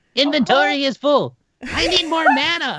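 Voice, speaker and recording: The speaker uses a put-on character voice with a high pitch. The pace is moderate. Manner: comical, impersonating.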